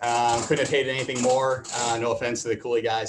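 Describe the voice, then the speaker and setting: A man with an American accent talks at a very fast pace against light background noise. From Boston, Massachusetts. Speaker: venture capitalist. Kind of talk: panel interview. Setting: video call. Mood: relaxed, joking. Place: office. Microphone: video call.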